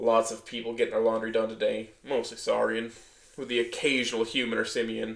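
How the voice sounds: The voice is a natural reading voice. Nothing else is noted beyond that.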